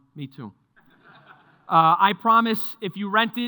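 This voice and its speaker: The speaker has a New York accent. Delivery is at a moderate pace with ordinary pitch variation. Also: man. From New York (Mount Vernon). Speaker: market strategist. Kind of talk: presentation to live audience. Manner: conversational.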